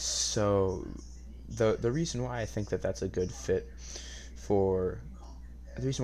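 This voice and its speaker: With an American accent, the voice has a dark, mellow tone, vocal fry and very wide pitch swings, with audible room echo. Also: man. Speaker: podcast host. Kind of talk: casual monologue podcast. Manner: quiet, hushed; hesitant, many fillers.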